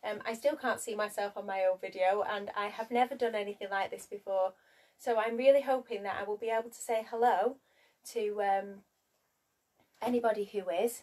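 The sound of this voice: A woman speaks at a moderate pace in a medium-pitched, slightly mellow voice with fairly even intonation.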